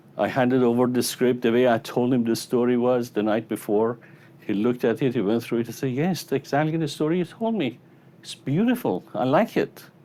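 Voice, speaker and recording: A man with a non-native accent speaks at a medium pitch and a fairly quick pace. His tone is dark and mellow, with ordinary pitch variation. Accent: noticeable foreign. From Iran. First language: Persian. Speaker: psychologist and motivational speaker. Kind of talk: motivational keynote speech. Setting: stage with audience. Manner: animated storytelling.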